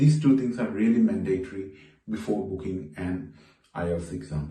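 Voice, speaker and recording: A man's somewhat breathy, dark and mellow voice with a Keralan accent, moving at a fairly quick pace amid audible room echo. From Kerala, India. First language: Malayalam. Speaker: YouTuber, exam tutor. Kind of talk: tutorial. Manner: casual, conversational.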